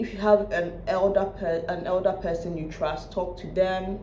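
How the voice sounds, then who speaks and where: Noticeable background noise is present throughout. The words come at a fairly slow pace. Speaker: commentary vlogger. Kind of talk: reaction video commentary. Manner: loud; casual, repetitive.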